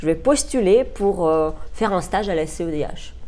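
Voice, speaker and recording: Amid audible room echo, a woman with a Russian accent speaks at a medium pitch and a fairly slow pace. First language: Russian (speaking French). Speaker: human rights lawyer. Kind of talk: interview. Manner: hesitant, with frequent fillers.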